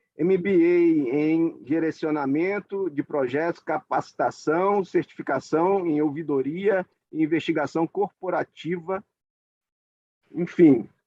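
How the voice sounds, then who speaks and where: A man with a northeastern Brazilian accent speaks very slowly in a high pitch. His intonation is fairly even. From Northeast Brazil, Alagoas. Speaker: judge. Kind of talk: formal event opening speech. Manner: halting, many fillers.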